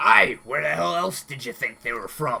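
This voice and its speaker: A raspy, put-on character voice delivers the lines at a moderate pace. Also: man. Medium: actual play. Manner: gruff, blunt.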